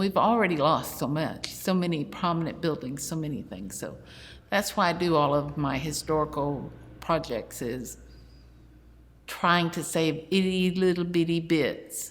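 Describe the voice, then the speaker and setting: In a room with audible echo, a woman with a Texan accent talks at a fairly slow pace and fairly low pitch with ordinary pitch variation. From Houston, Texas. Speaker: city legal department employee and local historian. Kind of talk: oral history interview.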